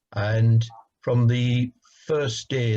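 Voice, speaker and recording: A man's dark, mellow tone, somewhat breathy. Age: 60s. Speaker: council leader. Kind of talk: interview. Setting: video call. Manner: hesitant, many fillers.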